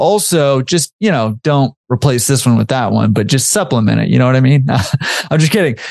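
His voice is an ordinary speaking voice. The man moves along rather briskly, his intonation lively and varied. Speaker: podcast host.

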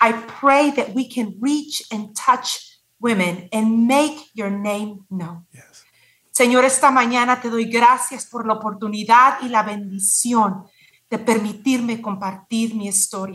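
A woman with a Spanish accent speaks fairly slowly at a fairly high pitch, her loudness swinging widely. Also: ordinary pitch variation. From Mexico. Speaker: cancer survivor and nonprofit founder. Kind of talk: casual interview conversation.

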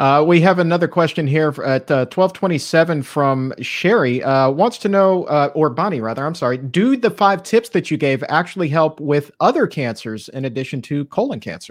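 A plain, everyday voice moves at a moderate pace with lively intonation over a quiet background. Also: man, fairly high pitch for a man, hardly any pauses. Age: 30s. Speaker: podcast host. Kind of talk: reading audience questions; interview. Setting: live-streamed show.

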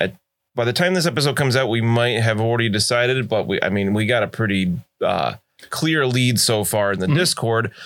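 Delivered at a fairly quick pace, an unremarkable speaking voice holds a very even loudness and ordinary pitch variation. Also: man. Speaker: game master of a tabletop roleplaying podcast. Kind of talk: tabletop roleplaying actual play with in-character narration.

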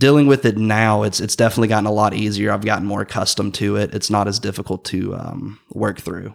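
On a very clean recording with a silent background, a man with an American accent speaks at a very fast pace with hardly any pauses, using a fairly low pitch, vocal fry and fairly even intonation. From US South, rural Georgia. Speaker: college student with vision loss. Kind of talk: casual interview.

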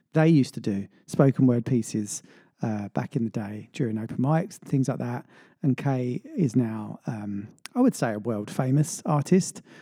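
At a moderate pace, the voice carries a relaxed, upbeat tone in a very clean recording with a silent background. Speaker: radio host. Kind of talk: radio DJ patter between tracks. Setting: radio studio broadcast. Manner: relaxed, friendly, upbeat.

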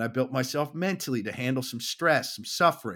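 Speaking at a fairly quick pace, a man with an American accent has a medium pitch and an animated tone. The recording is very clean, with a silent background. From Southern California. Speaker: firefighter and fatherhood coach. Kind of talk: podcast interview.

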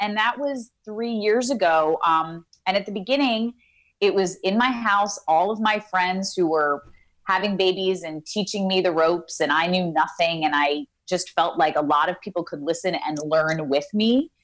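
A woman with a normal speaking voice and an American accent, medium pitch, ordinary pitch variation and a moderate pace. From New York City (Queens). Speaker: actress. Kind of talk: casual interview. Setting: video call.

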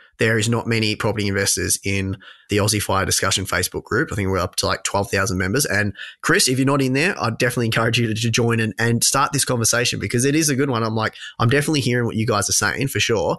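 A man with an Australian accent talks at a very fast pace, at a medium pitch with a bright, sharp tone. His pitch varies in an ordinary way, his loudness stays very even, and the background is quiet. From regional Victoria, Australia. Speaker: personal finance podcaster. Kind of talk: casual interview.

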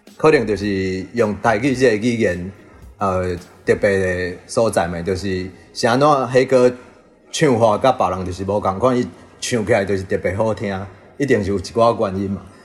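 Music plays in the background as a fairly low-pitched man speaks at a moderate pace with ordinary pitch variation. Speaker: band member, musician. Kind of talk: interview.

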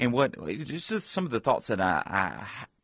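A man's voice with lively intonation, dry and close with no echo, on a very clean recording with a silent background. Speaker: pastor and author. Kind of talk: radio interview.

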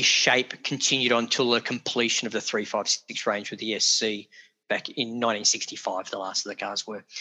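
Over a quiet background, a man speaks fairly slowly in a bright, sharp tone. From Australia (Geelong, Victoria). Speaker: car owner and enthusiast. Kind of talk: casual interview. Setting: video call. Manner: talkative.

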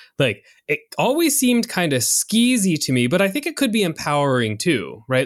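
A man is speaking. His pitch swings very widely. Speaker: podcast co-host, sex researcher. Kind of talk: casual chat. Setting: video call. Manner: animated.

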